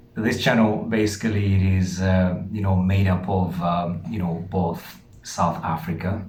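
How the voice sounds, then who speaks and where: A man's very deep, low voice in a Ugandan accent, at a fairly slow pace with fairly even intonation and audible room echo. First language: Lusoga. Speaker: channel host. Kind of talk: casual chat.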